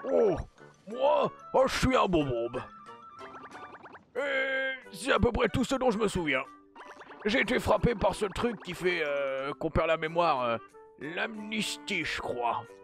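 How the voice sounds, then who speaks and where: The speaker uses a put-on character voice at a middle pitch with very wide pitch swings. The pace is fairly slow, with faint music in the background. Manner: hesitant, halting.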